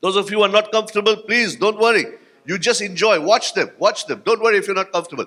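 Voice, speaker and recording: A man speaks in a raised, projected voice with a bright, sharp tone. The recording is very clean, with a silent background. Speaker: motivational speaker. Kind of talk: keynote speech with audience exercise. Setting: stage with audience at conference. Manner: fast; animated.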